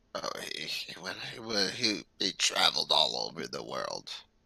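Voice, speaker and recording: A man uses a put-on character voice with a raspy sound. He talks at a moderate pace. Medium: actual play.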